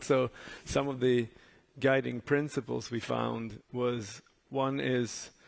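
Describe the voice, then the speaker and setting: A man speaks with a Swedish accent at a medium pitch. His intonation stays fairly even. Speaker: advertising jury member. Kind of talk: panel discussion.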